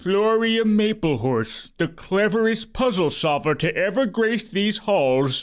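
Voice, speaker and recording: Putting on a character voice, a man talks at a high pitch and a fairly slow pace, with hardly any pauses. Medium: read story.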